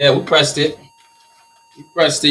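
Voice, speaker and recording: A man talks in an animated tone at a fairly quick pace. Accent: Liberian. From Liberia, West Africa. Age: 30s. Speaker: t-shirt printing business owner and coach. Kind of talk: live stream tutorial. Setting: live stream in print workshop. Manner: casual, animated.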